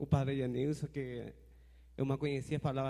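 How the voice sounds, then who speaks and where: A man with a Spanish accent talks at a moderate pace. His fairly high voice has a dark, mellow tone. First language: Spanish (speaking Portuguese). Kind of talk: audience question at forum.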